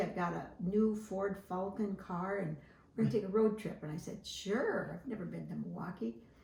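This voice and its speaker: Over noticeable background noise, a woman speaks at a medium pitch with an American accent. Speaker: interviewee. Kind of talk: oral history interview. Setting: at home.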